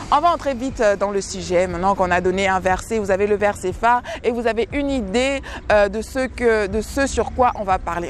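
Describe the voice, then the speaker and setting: With noticeable background noise behind her, a woman speaks at a moderate pace and a medium pitch. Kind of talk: devotional teaching. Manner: halting with many repetitions.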